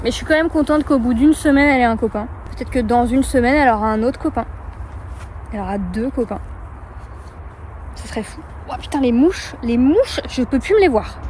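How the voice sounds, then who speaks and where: Against noticeable background noise, a woman talks very fast in a high pitch, with long, frequent pauses. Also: ordinary pitch variation. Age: 20s. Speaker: horse rider. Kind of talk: casual talk to camera. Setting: outdoors.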